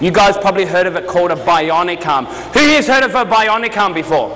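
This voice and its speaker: An Australian-accented man talks at a fairly quick pace with a high pitch and lively intonation, with noticeable background noise and audible room echo. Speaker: motivational speaker. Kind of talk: keynote speech. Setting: stage with audience. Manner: fast; animated.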